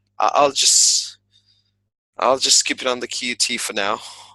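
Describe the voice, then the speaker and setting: A man talks at a very slow pace with a slight American accent. His tone is bright and sharp. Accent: slight American flavor in his English. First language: Spanish. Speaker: English teacher. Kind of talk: personal vlog monologue. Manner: halting, many fillers and repetitions.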